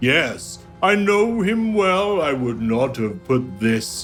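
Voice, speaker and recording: A man's put-on character voice over clear background music. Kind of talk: archaic, formal speech. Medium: actual play. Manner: very slow, stately, archaic.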